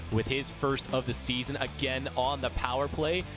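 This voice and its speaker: The intonation is lively and the pace moderate. Music can be heard in the background. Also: man. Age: 20s. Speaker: sports broadcaster. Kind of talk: TV sports broadcast hosting. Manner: upbeat.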